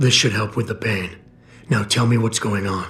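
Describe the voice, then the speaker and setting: In a raspy, put-on character voice, a man speaks at a moderate pace and medium pitch with fairly even intonation. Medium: video game. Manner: terse, controlled.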